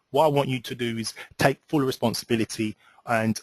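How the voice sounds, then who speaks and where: A man talks at medium pitch and a fairly quick pace. His intonation is fairly even, and the sound is dry and close, with no echo. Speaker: relationship coach. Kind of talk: webinar presentation. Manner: fast; hesitant, many fillers.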